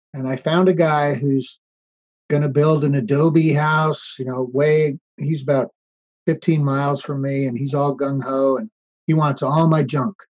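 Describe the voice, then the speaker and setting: An unremarkable speaking voice from a man with an American accent, fairly high in pitch and at a fairly slow pace. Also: fairly even intonation. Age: 60s. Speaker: off-grid tiny house builder. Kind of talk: interview conversation.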